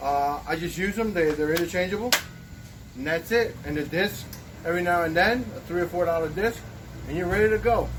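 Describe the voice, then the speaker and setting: A man's high voice with ordinary pitch variation, a fairly quick pace, long and frequent pauses, and noticeable background noise. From Puerto Rico. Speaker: DIY woodworking youtuber. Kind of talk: tutorial.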